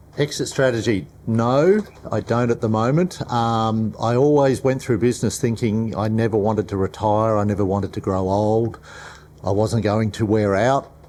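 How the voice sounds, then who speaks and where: A man with an Australian accent and a dark, mellow tone, at a moderate pace and very even loudness. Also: medium pitch for a man, ordinary pitch variation. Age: 60s. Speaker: business owner. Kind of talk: panel discussion.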